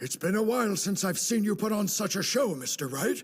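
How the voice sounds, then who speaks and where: A man speaks in a put-on character voice, pitched high with lively intonation. Light background noise sits under the recording. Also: fairly quick pace. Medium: fan dub. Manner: formal.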